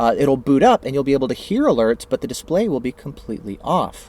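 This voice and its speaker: Fairly high in pitch, a man talks at a very fast pace. The sound is dry and close with no echo. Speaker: tech product reviewer. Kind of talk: tutorial. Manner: casual with many filler words.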